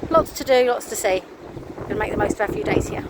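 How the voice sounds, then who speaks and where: A woman speaks over noticeable background noise. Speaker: vlogger. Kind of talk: casual chat.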